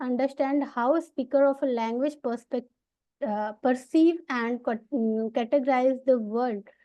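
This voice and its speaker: Against a quiet background, a woman with an Indian accent speaks at a fairly slow pace in a high pitch, her tone dark and mellow and her intonation fairly even. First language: Bhojpuri. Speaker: PhD student presenter. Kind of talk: academic presentation. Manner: halting, many fillers.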